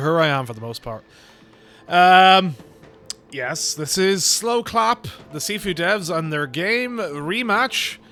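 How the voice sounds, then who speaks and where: A man mumbles at a very slow pace in a high voice, his pitch swinging very widely, with long, frequent pauses. Music plays in the background. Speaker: gaming video creator. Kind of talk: casual gameplay commentary. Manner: mumbly.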